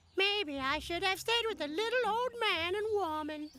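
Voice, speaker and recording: A cartoonish character voice, pitched extremely high, delivers its lines at a moderate speed. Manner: cheeky, boastful.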